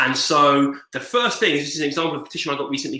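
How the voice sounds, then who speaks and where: In an English accent, a man speaks at a fairly quick pace. His voice sits at a fairly high pitch with a bright, sharp tone. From England. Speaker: digital organizing trainer. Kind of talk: online training presentation. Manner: fast; casual, filler-heavy.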